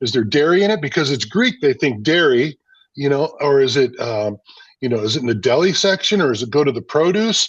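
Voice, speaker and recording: With an unremarkable speaking voice, a man talks at a fairly high pitch. His pace is fairly quick and his intonation lively. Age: 60s. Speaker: food business owner. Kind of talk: interview conversation.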